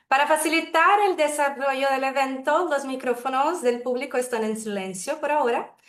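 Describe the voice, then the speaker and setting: A woman speaks with a Brazilian accent at a moderate pace. Her high pitch rises and falls in a lively intonation. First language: Portuguese (speaking Spanish). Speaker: webinar moderator. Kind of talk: formal webinar moderation. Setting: video call.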